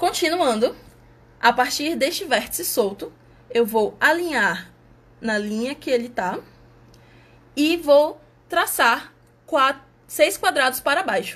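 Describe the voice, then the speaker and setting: A woman speaks at a very slow pace, with long, frequent pauses. Her pitch is high and her intonation lively. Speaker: math outreach presenter. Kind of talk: tutorial.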